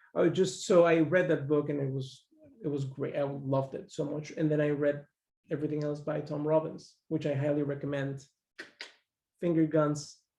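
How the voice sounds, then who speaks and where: Somewhat breathy and dark, mellow in tone, this man's fairly high voice moves at a moderate pace with monotone, flat intonation. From Mexico. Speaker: podcast guest. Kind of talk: casual chat. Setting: living room.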